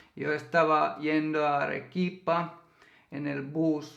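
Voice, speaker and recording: A man with a Finnish accent at a very slow pace, with audible room echo. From Finland. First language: Finnish (speaking Spanish). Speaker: YouTuber, co-host of a couple's channel. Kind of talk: casual storytelling chat. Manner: halting.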